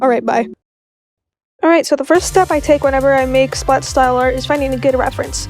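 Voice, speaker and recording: Music plays behind the speaker. She is a woman talking at a very fast pace. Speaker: digital artist. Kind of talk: tutorial voice-over read from a script. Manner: casual, upbeat.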